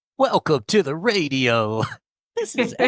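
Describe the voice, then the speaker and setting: A man puts on a character voice, fairly high-pitched and fairly slow, with very wide pitch swings in a dry, close sound with no echo. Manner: put-on, exaggerated.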